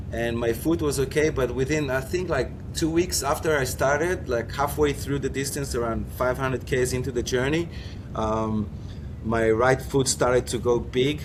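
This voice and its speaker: Medium-pitched male speech at a moderate pace, lively intonation, and noticeable background noise. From Israel. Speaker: foiler and former Olympic windsurfer. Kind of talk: interview. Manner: halting, many repetitions.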